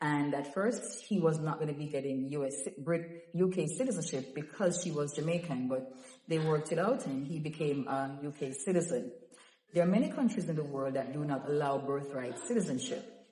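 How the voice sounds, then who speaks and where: Delivered at a fairly quick pace with lively intonation, the speech carries audible room echo and noticeable background noise. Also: woman, very deep, low pitch for a woman. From Jamaica. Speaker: documents help vlogger. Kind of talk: informational vlog. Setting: museum, indoors among visitors. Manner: soft-spoken.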